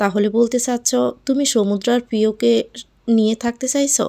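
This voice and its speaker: In a put-on character voice, a woman speaks at a moderate pace and a fairly high pitch, shaky, with fairly even intonation and very even loudness. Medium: read story.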